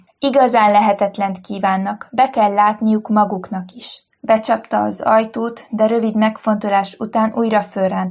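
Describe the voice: Fairly even intonation across plain reading aloud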